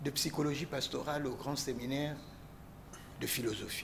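At a fairly slow pace, a man with a fairly high pitch speaks in a somewhat breathy voice over light background noise. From DR Congo. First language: Lokonda (speaking French). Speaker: priest guest on talk show. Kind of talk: talk show discussion. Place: studio.

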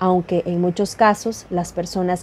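A woman's voice, dark and mellow in tone, comes across with monotone, flat intonation. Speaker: news reporter. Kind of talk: news report narration.

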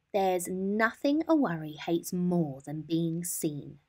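A woman's put-on character voice, fairly low and slightly mellow, with big pitch swings at a slow pace.

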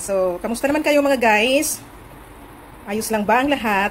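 Against light background noise, a woman talks at a moderate pace with lively intonation. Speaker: home cooking vlogger. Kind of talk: casual vlog chat. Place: kitchen. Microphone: phone near.

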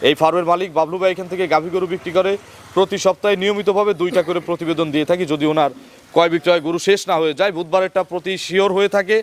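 A man's high-pitched voice, with fairly even intonation, sounds dry and close with no echo, though noticeable background noise is present. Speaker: farm channel reporter. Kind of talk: field report with interviews.

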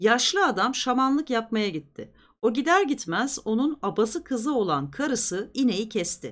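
The voice moves at a moderate pace with big pitch swings and a fairly bright tone. The recording is very clean, with a silent background. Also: woman, fairly high pitch for a woman.

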